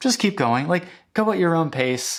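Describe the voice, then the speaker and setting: In a very clean recording with a silent background, a man mumbles with lively intonation at a fairly high pitch. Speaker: music YouTuber. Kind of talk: casual vlog monologue. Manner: mumbling; halting, many fillers and restarts.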